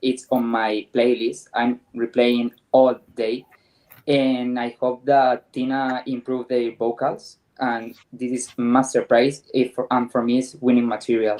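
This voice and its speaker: A fairly slow pace in a Spanish accent. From Spain. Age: 20s. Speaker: panelist. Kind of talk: casual panel discussion.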